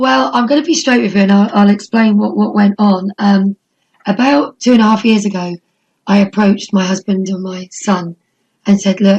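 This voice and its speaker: Somewhat breathy, a woman with an East Anglian accent talks at a moderate pace. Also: medium pitch for a woman, ordinary pitch variation. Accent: English (East Anglia). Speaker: wrestling promoter. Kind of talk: casual interview.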